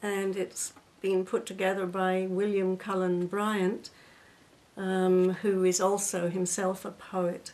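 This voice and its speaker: Very slowly and with monotone, flat intonation, a woman speaks at medium pitch. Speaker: video blogger. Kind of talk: poem reading, slow and gentle, then a lighter chatty tone between poems. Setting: home video. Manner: measured, slow, lyrical, a little wistful; halting and casual when talking between poems. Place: home room. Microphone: webcam.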